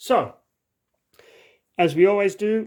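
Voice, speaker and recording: In a very clean recording with a silent background, the words come very slowly. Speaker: board game video creator. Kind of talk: gameplay tutorial. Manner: casual with filler words.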